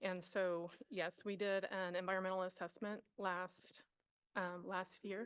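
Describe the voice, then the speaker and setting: In monotone, flat intonation, a woman speaks at a fairly slow pace with very even loudness. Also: medium pitch for a woman. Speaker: environmental planner at a military base. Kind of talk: testimony at public hearing. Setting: council chambers hearing room. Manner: hesitant, many fillers.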